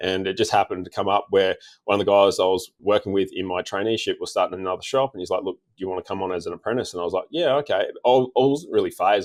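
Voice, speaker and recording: In a very clean recording with a silent background, a man with an Australian accent speaks at a very fast pace with hardly any pauses. The sound is dry and close, with no echo. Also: big swings in loudness. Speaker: diesel tuning mechanic. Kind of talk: casual interview chat.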